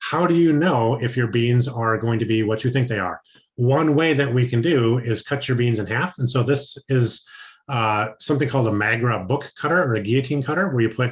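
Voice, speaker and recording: Somewhat breathy, a man moves at a fairly quick pace with medium pitch over a quiet background. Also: ordinary pitch variation. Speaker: chocolate maker trainer. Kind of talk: training lecture. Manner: fast.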